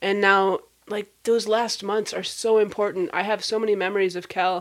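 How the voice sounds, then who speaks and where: An unremarkable speaking voice with an American accent, at a moderate pace. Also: woman. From Minnesota, US Midwest. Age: 40s. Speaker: podcast host, nonprofit founder. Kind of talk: casual interview chat.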